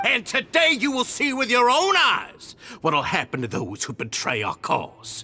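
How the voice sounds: Putting on a character voice, a man speaks extremely high and fairly slowly, his bright, sharp tone swinging very widely in pitch while faint music plays in the background.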